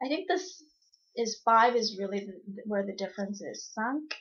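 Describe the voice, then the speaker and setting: Speaking at a fairly slow pace in a Cantonese accent, a woman has a fairly high, somewhat breathy voice. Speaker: vlogger. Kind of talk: casual vlog talk. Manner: hesitant, many fillers.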